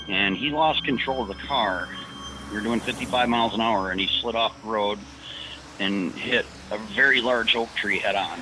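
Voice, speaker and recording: With an American accent, a man speaks at a moderate pace in a medium pitch with ordinary variation, over noticeable background noise. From Detroit area, Michigan. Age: 40s. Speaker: retired firefighter and trucker. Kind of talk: storytelling interview.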